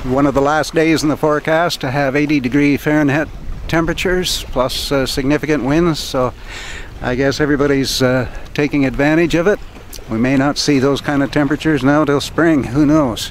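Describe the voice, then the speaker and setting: The voice moves at a fairly quick pace with fairly even intonation and very even loudness. The sound is dry with no echo, over light background noise. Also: man. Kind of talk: casual vlog chat. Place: boat. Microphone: camera far.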